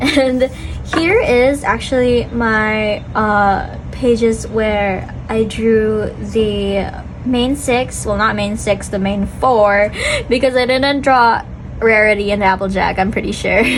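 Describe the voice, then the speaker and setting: Through noticeable background noise and audible room echo, a woman talks at a very slow pace. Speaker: amateur artist, vlogger. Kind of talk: casual chat. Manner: animated.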